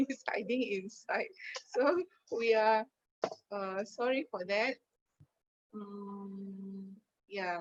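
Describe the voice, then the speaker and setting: A very slow delivery in an Indonesian accent, ordinary pitch variation, long, frequent pauses, and a dry, close sound with no echo. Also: woman, medium pitch for a woman. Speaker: poet. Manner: halting.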